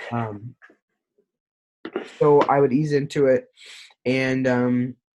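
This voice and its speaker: The man's voice sits at a medium pitch. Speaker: podcast host, former salesperson. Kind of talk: casual interview chat. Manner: fast.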